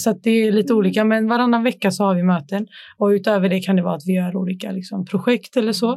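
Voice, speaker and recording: Against a quiet background, a woman speaks at a very fast pace in a medium pitch, her tone dark and mellow and her intonation fairly even. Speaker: youth council chair. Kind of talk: casual chat.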